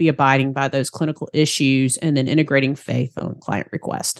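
A woman with a Southern US accent talks at a very fast pace. The sound is dry and close with no echo, over a quiet background. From US South, Georgia. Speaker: faith-based practice consultant and therapist. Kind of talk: casual interview chat.

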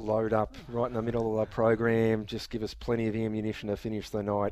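With an Australian accent, a man speaks in a fairly low, dark, mellow voice. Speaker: radio host. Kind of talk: casual radio chat. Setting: radio studio.

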